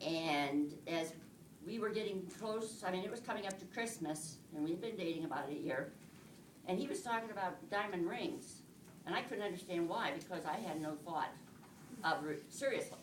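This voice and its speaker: A woman at medium pitch with lively intonation and a moderate pace, plus audible room echo and noticeable background noise. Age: old. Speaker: married woman giving testimony, retired nurse. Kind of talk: testimony. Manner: halting.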